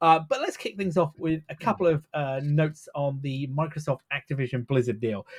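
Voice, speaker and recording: A man with a British accent speaks at a fairly high pitch, somewhat breathy, with ordinary pitch variation. His pace is moderate and he hardly pauses. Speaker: tech podcast co-host. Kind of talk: casual chat. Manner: halting, many fillers.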